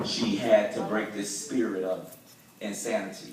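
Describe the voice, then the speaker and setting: Noticeable background noise fills this clip. Over it, a man talks. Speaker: church spoken word performer. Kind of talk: spoken word poetry performance to a church audience. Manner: rhythmic, rhyming, emphatic delivery.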